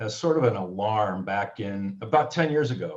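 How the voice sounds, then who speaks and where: A somewhat breathy man with lively intonation. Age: 70s. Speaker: author. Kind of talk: panel discussion.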